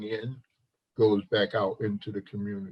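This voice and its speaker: Somewhat breathy, a man speaks at a fairly slow pace. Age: 60s. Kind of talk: casual chat.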